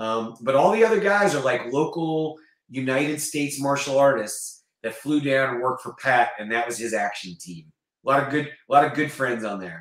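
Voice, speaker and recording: Over a quiet background with audible room echo, a man with an American accent speaks with lively intonation and big swings in loudness. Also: medium pitch for a man, moderate pace. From US South, North Carolina. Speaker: actor and martial artist; actor. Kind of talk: casual chat. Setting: video call. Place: home room.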